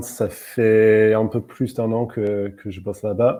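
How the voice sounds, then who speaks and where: A man's very slow, fairly low-pitched speech in an English accent, dark and mellow in tone. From England. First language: English (speaking French). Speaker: UX writer. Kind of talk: webinar interview.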